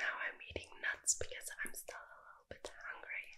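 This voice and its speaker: Soft-spoken and extremely high-pitched, a woman talks at a moderate pace in a monotone, flat intonation. Light background noise can be heard. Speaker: streamer. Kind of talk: casual vlog chat. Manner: soft, hushed ASMR speech. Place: home room. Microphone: webcam.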